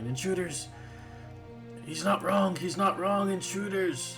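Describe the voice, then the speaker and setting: Over clear music in the background, a man puts on a high-pitched character voice and speaks at a fairly slow pace. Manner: yelling, alarmed.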